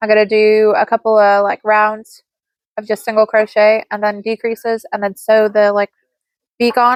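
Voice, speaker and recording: A woman speaks at a moderate pace with a fairly high pitch. Her intonation stays monotone and flat. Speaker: crochet content creator and market seller. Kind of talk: casual chat. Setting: at home with kids. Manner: casual, filler-heavy.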